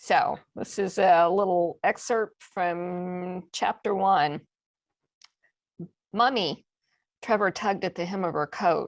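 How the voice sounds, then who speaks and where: With an American accent, a woman speaks at a medium pitch and a very slow pace, her fairly even intonation broken by long, frequent pauses. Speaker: mystery novelist. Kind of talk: reading aloud.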